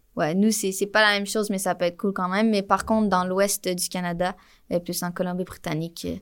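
Speaking with a Quebec accent, a woman talks at a fairly quick pace. Her intonation stays monotone and flat. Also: medium pitch for a woman, very clean recording, silent background. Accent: Québécois French. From Quebec, Montreal. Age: 20s. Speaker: motion designer. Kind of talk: casual interview. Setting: in person at a festival.

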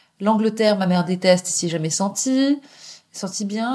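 Medium-pitched female speech at a moderate pace, in a normal speaking voice. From Paris, France, partly raised in England. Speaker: journalist and author. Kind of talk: interview, personal storytelling.

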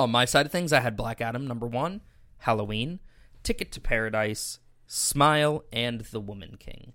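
An unremarkable speaking voice from a man, medium in pitch with ordinary pitch variation, at a moderate pace with big swings in loudness, in a very clean recording with a silent background. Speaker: co-host reading movie news. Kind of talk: casual chat.

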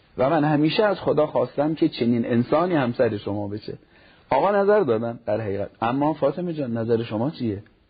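This man's voice is fairly high and somewhat breathy. He talks at a moderate pace with lively intonation. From Iran, Nishapur (Khorasan Razavi). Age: 40s. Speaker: cleric and family counselor. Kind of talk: TV talk show interview.

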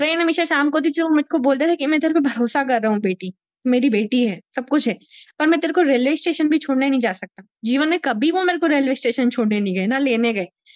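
This woman's voice sits at a high pitch. Her intonation is lively. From Madhya Pradesh, India (Sehore district, Malwa). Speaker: mountaineer and scuba diver. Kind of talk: interview. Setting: virtual studio.

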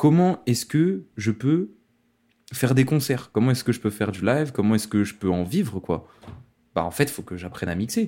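On a very clean recording with a silent background, a man speaks at a moderate pace. His pitch swings very widely. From France, Lyon. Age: 20s. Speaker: DJ. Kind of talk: interview. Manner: casual.

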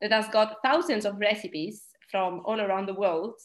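A woman's medium-pitched voice with an Italian accent. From Italy. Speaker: dietitian and researcher. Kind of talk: interview.

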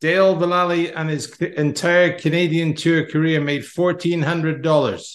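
The speaker has a Scottish accent. The intonation stays fairly even. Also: man. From Scotland. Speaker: podcast host and golf coach. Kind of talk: casual chat.

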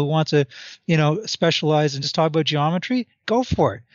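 The speech moves at a very fast pace, with ordinary pitch variation. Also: man. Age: 50s. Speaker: author and math educator. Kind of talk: interview.

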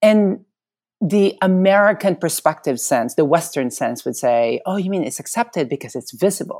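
With vocal fry and very wide pitch swings, a woman speaks at a moderate pace in a medium pitch. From Philippines. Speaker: model and author. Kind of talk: interview.

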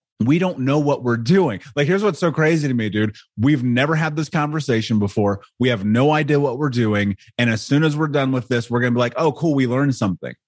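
Speech with an American accent moves at a fairly quick pace with hardly any pauses and ordinary pitch variation. Loudness is very even, and the background is quiet. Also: man, medium pitch for a man. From US Midwest, Indianapolis. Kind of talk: interview. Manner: animated.

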